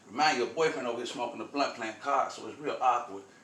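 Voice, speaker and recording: Amid noticeable background noise and audible room echo, a man with an American accent speaks at a medium pitch in an animated tone. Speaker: spiritual storyteller vlogger. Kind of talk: casual storytelling monologue. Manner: fast.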